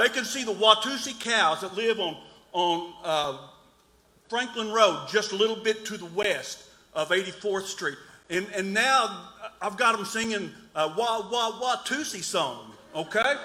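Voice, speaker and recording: Amid audible room echo, a man uses a raised, projected voice at a high pitch, with ordinary pitch variation and a fairly slow pace. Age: 60s. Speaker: resident speaking at town hall. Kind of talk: public comment at town hall. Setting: town hall meeting. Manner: halting.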